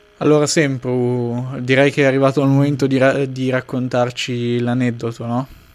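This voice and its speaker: Here a man speaks at a moderate pace with hardly any pauses. His medium-pitched voice has monotone, flat intonation. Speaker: podcast host. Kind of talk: casual chat.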